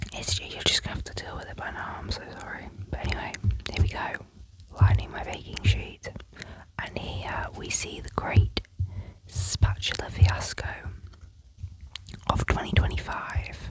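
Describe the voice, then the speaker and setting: A whispering woman with a British accent at a moderate pace, with long, frequent pauses, big swings in loudness and noticeable background noise. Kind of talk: ASMR voiceover ramble. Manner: whispered, soft.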